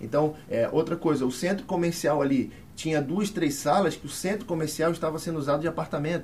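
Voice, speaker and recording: A plain, everyday voice at a fairly quick pace, with hardly any pauses and ordinary pitch variation. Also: man, fairly high pitch for a man. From Brazil, Rio de Janeiro. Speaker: former football club president. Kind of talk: casual interview.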